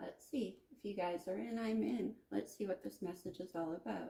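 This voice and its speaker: The woman's voice is soft-spoken. She keeps a moderate tempo. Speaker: tarot reader. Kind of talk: tarot reading monologue. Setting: at home at a card table.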